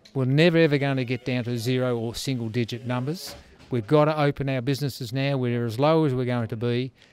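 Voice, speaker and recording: A man talks at a fairly quick pace over background music. The sound is dry, with no echo. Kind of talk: interview answer. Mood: determined, defiant. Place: shop. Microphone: handheld.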